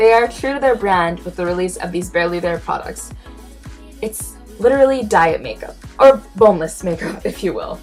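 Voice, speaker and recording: Against music in the background, a woman speaks at a moderate pace with big swings in loudness. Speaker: beauty vlogger. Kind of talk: product review to camera. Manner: casual, wry.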